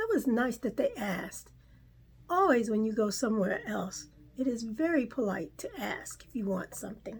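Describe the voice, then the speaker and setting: A woman's put-on character voice, raspy and at a fairly high pitch, with a warm tone, lively intonation, big swings in loudness, and a moderate pace. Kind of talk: children's read-aloud. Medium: read story. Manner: warm, gently explaining asides.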